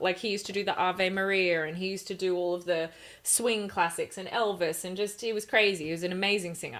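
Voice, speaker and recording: A woman with an Australian accent, medium pitch and fairly even intonation. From Australia, Gold Coast. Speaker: rock singer-songwriter. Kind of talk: interview conversation.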